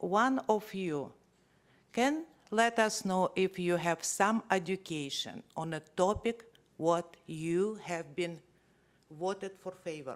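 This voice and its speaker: The speaker talks at a very slow pace with a non-native accent on a very clean recording with a silent background. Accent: non-native accent, noticeable. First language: not English. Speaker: resident speaking at public meeting. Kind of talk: public comment at council meeting. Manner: halting.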